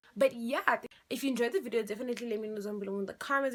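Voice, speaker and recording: This woman speaks with an animated tone and lively intonation. Her pitch is fairly high. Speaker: beauty vlogger. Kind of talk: makeup tutorial; casual vlog outro. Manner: fast.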